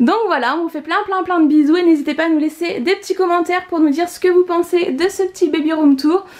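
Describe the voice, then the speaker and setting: Speaking at a fairly quick pace, a woman has an extremely high pitch and fairly even intonation. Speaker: YouTuber, expectant mother. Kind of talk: home tour vlog.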